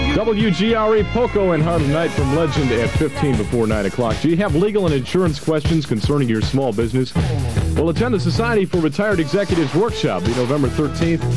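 A man's very fast speech runs over clearly audible music in the background. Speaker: college radio DJ. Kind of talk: radio station ID, announcement and song intro. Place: studio. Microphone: studio mic.

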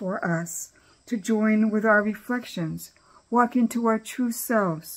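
A woman talks at a very slow pace, her voice somewhat breathy. Her pitch variation is ordinary. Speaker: cancer community member reading her own poems. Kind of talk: reading aloud poetry. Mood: calm, reflective. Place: home room. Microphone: webcam.

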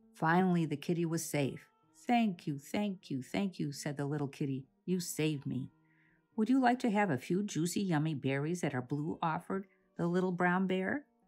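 Faint music plays behind a woman speaking at a moderate pace. Her fairly low voice carries lively intonation. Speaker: children's book author reading her own book aloud. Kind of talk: children's read-aloud storytelling. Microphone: phone near.

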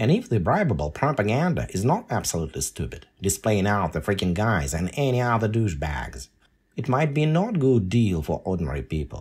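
A man with a fairly low pitch, vocal fry and very wide pitch swings talks at a fairly quick pace in a very clean recording with a silent background. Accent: Russian. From Russia (Volgograd, then USSR). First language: Russian. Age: 50s. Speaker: podcaster and writer. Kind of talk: podcast monologue.

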